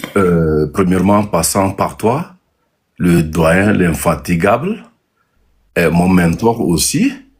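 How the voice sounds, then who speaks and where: A man with a very deep, low pitch talks at a very slow pace with long, frequent pauses, very even loudness and ordinary pitch variation. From Togo. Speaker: entrepreneur and local political candidate. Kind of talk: live interview. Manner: halting, many hesitations.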